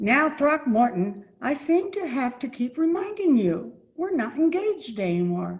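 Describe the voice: A woman speaks in a put-on character voice, high in pitch with big swings up and down. Her pace is fairly slow.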